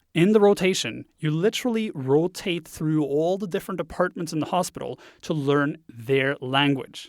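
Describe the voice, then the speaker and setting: In a very clean, silent recording with a dry, close sound and no echo, a man speaks with a slight Norwegian accent. His fairly high voice shows ordinary pitch variation at a moderate pace with hardly any pauses. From Norway. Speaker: web design instructor. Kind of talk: podcast monologue.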